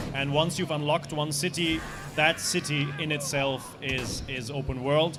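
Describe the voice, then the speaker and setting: Through noticeable background noise, a man with a German accent speaks at a fairly high pitch and a moderate pace in a monotone, flat intonation. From Austria. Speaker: game developer. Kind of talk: interview. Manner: halting.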